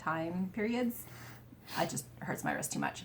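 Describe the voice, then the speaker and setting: Lively intonation, a somewhat breathy quality, and a moderate pace. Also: woman. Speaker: cross-stitch video creator. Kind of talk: casual chat.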